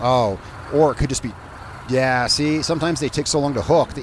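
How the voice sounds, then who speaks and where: A man at a fairly quick pace with ordinary pitch variation, over noticeable background noise. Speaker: gaming YouTuber. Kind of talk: let's play commentary. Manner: casual, rambling with fillers; loud over engine noise.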